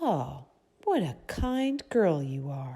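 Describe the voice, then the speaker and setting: Someone puts on a growling character voice. The pitch sits in the middle. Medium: read story. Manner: sly.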